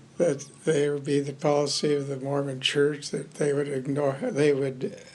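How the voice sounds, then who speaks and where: Amid noticeable background noise and audible room echo, a man with an American accent talks with fairly even intonation. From Los Angeles, California. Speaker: war veteran. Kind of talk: oral history interview.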